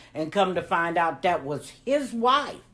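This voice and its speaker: A woman is speaking. Her tone is animated. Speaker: grandmother storyteller. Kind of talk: storytelling.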